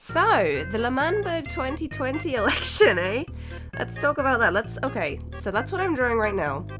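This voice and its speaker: Music plays behind the speaker. She is a woman talking at a moderate speed. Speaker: digital artist. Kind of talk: casual speedpaint commentary.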